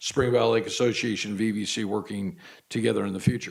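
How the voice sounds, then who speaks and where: Fairly quick male speech with vocal fry and ordinary pitch variation. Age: 60s. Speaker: community college board trustee. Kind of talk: public board meeting remarks. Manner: halting, with many repeated words.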